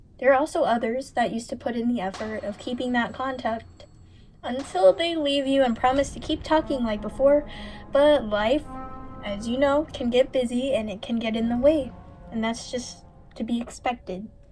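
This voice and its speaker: Over background music, a woman speaks in a high pitch. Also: ordinary pitch variation, moderate pace. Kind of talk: casual rambling voiceover over gameplay.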